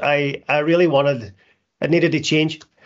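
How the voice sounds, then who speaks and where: A man with a Northern Irish accent talks at a moderate pace in a fairly high pitch. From Northern Ireland (Derry). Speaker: recovery charity founder. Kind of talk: testimony. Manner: halting.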